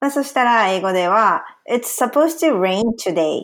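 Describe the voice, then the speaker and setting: Pitch moves over a very wide range. The woman's delivery is fairly slow. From Ehime, Japan. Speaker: translator and podcast co-host. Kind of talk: casual chat.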